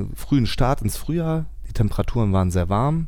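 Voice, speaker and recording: A man's voice with lively intonation. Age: 30s. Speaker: farmer. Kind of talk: casual interview. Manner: hesitant, many fillers.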